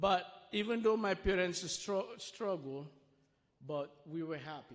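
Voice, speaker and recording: A man with a strong Sierra Leonean accent speaks at a fairly slow pace in a high pitch, with ordinary pitch variation. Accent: thick Sierra Leonean. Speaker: refugee sharing life story at church. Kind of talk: testimony. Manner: slow, deliberate.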